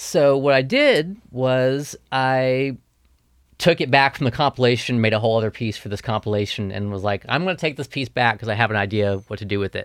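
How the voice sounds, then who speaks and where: A man's plain, everyday voice in an American accent, medium in pitch with ordinary pitch variation, at a fairly quick pace. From US South, Tennessee (Memphis, West Tennessee, Nashville). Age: 30s. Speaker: ambient guitar musician. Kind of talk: casual interview.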